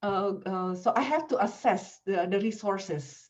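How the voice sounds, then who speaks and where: In an Indonesian accent, a woman speaks with ordinary pitch variation amid audible room echo. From Indonesia, Jakarta. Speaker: language professor. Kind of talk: lecture. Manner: halting, many fillers.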